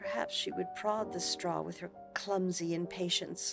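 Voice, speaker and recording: Music sits in the background as a woman speaks with an American accent. Her pitch is fairly low and her pace fairly slow. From United States. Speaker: voice actor. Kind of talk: short story reading for sleep.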